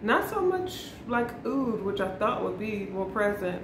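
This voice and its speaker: Noticeable background noise behind a woman talking at a fairly slow pace. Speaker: fragrance vlogger. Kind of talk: casual vlog chat. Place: home room. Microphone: camera far.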